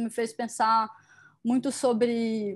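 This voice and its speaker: Over a quiet background, a woman with a fairly high pitch speaks at a very slow pace. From Curitiba, Paraná, Brazil; Paraná, Brazil. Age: 30s. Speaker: curator and museum director; interviewee. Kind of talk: interview conversation. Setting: video call. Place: home room. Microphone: video call.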